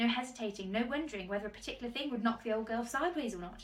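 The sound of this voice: Unforced reading voice, its pitch rising and falling by ordinary amounts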